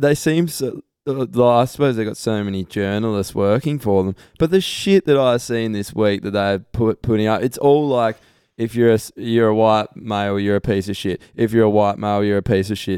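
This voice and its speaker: A plain, everyday voice belongs to a man of medium pitch who speaks at a moderate pace with ordinary pitch variation, captured in a very clean recording with a silent background. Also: dry, close sound with no echo. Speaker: podcast host. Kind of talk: casual banter podcast.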